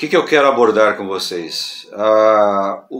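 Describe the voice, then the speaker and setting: A man's medium-pitched voice at a fairly slow pace, with ordinary pitch variation and music in the background. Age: 60s. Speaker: pastor. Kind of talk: casual talk to camera on church topic. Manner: halting with fillers.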